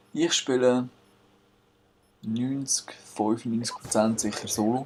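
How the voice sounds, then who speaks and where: At a very slow pace, a man with a Swiss accent speaks at a medium pitch with fairly even intonation. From Switzerland. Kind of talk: gameplay commentary. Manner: casual.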